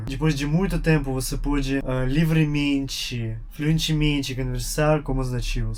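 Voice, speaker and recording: Noticeable background noise sits behind a man with a Russian accent. He speaks at a moderate pace in a fairly high pitch. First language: Russian (speaking Portuguese). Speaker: YouTuber, language learner. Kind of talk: casual vlog monologue. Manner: halting, with pauses to think.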